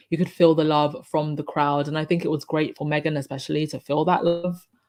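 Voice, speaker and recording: The speech runs at a fairly quick pace. Music plays in the background. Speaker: royal commentary livestream host. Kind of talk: casual livestream chat. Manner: hesitant, with fillers.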